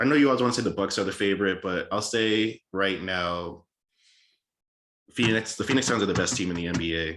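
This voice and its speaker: A man with an American accent has an ordinary speaking voice, fairly low in pitch with ordinary pitch variation. The recording is very clean with a silent background. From Boston area, Massachusetts (Cambridge). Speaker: podcast host. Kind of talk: casual solo podcast monologue. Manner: rambling, casual, many fillers.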